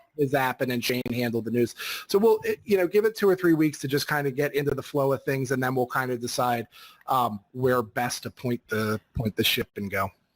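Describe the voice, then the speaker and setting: A man with a plain, everyday voice speaks at medium pitch and a fairly quick pace, his intonation lively and the sound dry and close with no echo. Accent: American. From Philadelphia, US. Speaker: podcast host. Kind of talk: casual chat.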